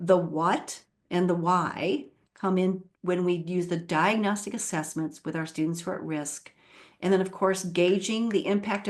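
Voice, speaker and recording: A woman's fairly low pitch, a normal speaking voice, ordinary pitch variation and a quiet background. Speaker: literacy education leader and author. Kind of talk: webinar presentation.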